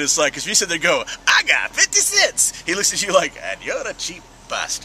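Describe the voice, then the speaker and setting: Noticeable background noise accompanies a man talking at a moderate speed. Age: 40s. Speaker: comic fan vlogger. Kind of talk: casual chat.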